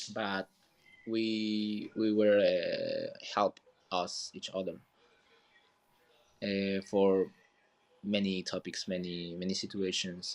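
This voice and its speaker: A man's fairly low, monotone, flat voice in a Peruvian accent, at a very slow pace with long, frequent pauses. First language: Spanish. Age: 20s. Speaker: community manager. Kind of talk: casual chat. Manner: halting.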